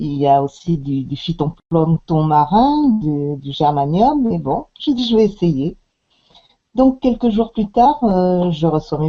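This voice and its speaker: A woman speaks very slowly at a fairly low pitch. Her pitch swings very widely. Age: 60s. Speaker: customer giving product testimonial. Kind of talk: testimony. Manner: halting, many hesitations.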